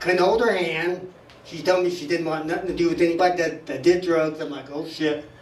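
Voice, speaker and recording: A man's high-pitched voice at a moderate pace, with noticeable background noise and audible room echo. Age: 70s. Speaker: stand-up comic at open mic. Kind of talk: stand-up. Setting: stage with audience.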